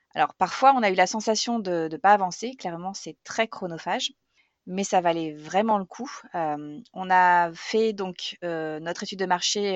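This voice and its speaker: This woman talks at a medium pitch. Her pitch varies in an ordinary way. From Normandy, France. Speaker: eco grocery store co-owner. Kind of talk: testimony. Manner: hesitant, many fillers.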